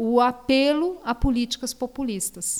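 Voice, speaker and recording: A woman's high-pitched voice at a very slow pace. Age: 50s. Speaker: economist and state official. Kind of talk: interview.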